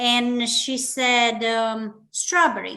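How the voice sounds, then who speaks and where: A woman with a Romanian accent speaks at a high pitch in a bright, sharp tone. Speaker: business leader and public speaking club member. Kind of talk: interview.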